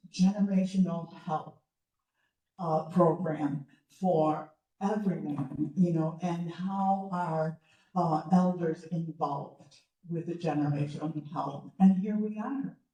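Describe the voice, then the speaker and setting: The voice is somewhat breathy with a dark, mellow tone. It moves at a very slow pace with ordinary pitch variation. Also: woman, fairly low pitch for a woman. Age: 70s. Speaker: retired educator. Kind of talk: public talk. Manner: halting.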